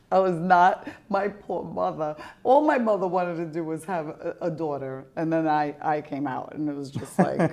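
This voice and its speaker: A woman with an Albanian accent speaks at a fairly low pitch. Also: ordinary pitch variation, moderate pace. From Albanian family in the US. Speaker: podcast host. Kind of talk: casual interview chat. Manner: animated.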